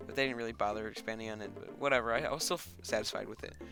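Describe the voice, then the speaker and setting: A man is talking. Music plays in the background. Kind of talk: casual movie review voice-over. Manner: hesitant, many filler words.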